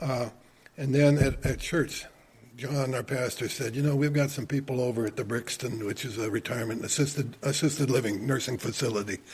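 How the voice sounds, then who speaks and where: A man with an American accent and fairly even intonation, amid noticeable background noise. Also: medium pitch for a man, fairly quick pace. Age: 70s. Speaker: retired church elder and volunteer. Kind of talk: casual interview chat. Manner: repetitive, with frequent restarts.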